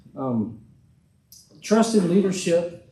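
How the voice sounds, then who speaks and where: Audible room echo around a male speaker with an American accent. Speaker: political candidate. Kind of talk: campaign speech. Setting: church hall with audience. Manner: loud.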